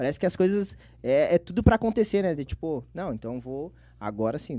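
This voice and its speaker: A man's dark, mellow voice with very wide pitch swings, recorded dry with no echo. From Porto Alegre area, Rio Grande do Sul, Brazil. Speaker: internet comedian. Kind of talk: casual chat. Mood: relaxed, animated storytelling. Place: studio. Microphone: studio mic.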